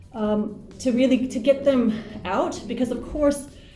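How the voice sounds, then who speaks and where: A woman speaks in an American accent with ordinary pitch variation. There is noticeable background noise and audible room echo. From US Pacific Northwest, Portland, Oregon. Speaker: English teacher and teacher trainer. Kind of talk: interview.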